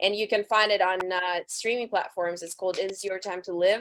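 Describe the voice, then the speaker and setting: A woman speaks at a medium pitch with a slight Russian accent. The recording is very clean, with a silent background. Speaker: rock band singer. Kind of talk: interview. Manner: loud.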